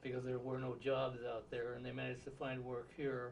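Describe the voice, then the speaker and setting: A man with an American accent talks in a monotone, flat delivery with a somewhat breathy sound. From Southern California. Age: 70s. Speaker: interviewee, retired physicist. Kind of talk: oral history interview. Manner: halting, many filler words.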